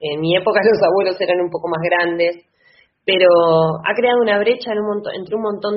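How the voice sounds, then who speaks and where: With an ordinary speaking voice, a woman speaks at medium pitch and a fairly quick pace, her pitch varying in an ordinary way. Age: 30s. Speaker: lawyer and political candidate. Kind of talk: interview.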